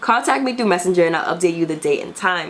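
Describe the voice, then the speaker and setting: A woman speaks with lively intonation. There is noticeable background noise behind her. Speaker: YouTube commentator. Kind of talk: casual commentary. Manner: fast; hurried.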